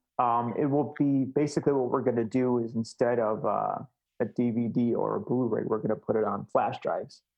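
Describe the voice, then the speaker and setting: Using an ordinary speaking voice, a man with an American accent talks at a moderate pace and medium pitch, his intonation fairly even. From Chicago. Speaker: video editor. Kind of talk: casual interview chat.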